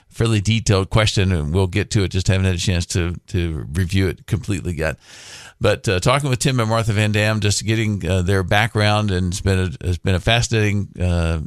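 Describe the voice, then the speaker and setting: A man with an American accent talks at a fairly quick pace in a plain, everyday voice. His pitch is fairly low, with ordinary variation, over a quiet background. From Florida, Orlando. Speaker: radio host, financial planner. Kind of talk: radio talk show.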